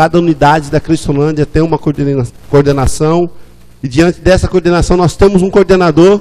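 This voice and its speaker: A man with a fairly high pitch has a dark, mellow tone. His pace is moderate and his pitch variation ordinary. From Brazil, interior of São Paulo state (Araraquara). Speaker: missionary, former drug addict. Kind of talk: testimony. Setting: church service.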